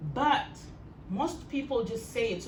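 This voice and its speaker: Amid audible room echo and noticeable background noise, a woman's voice moves in very wide pitch swings. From Kenya. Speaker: storyteller. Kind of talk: talk to an audience.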